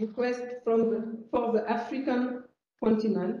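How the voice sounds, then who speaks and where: A woman speaks at a fairly high pitch and a moderate pace. Her tone is dark and mellow. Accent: French. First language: French. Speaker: geological survey organisation president. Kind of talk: conference presentation. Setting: conference room with audience. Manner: halting, with frequent hesitations.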